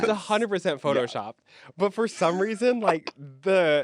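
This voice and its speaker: Somewhat rapid delivery in a normal speaking voice, pitch varying in the usual way. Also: man. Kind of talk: podcast conversation.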